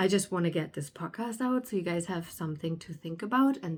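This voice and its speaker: A woman with a German accent speaks at a fairly low pitch, somewhat breathy. The recording is very clean, with a silent background. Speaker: spiritual alignment coach, podcaster. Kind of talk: casual monologue podcast. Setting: indoors by a sunny window. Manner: halting, with fillers.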